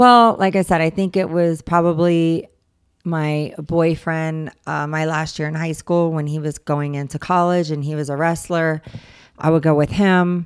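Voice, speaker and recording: With an ordinary speaking voice, a woman talks at a fairly low pitch and fairly slow pace with fairly even intonation on a very clean recording with a silent background. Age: 40s. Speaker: fitness enthusiast. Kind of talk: casual chat.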